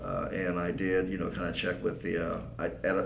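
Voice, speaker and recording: A man's very deep, low voice with an American accent, ordinary pitch variation and a moderate pace, amid noticeable background noise and audible room echo. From Southern California desert (San Bernardino County). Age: 60s. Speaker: political candidate. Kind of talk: interview. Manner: halting.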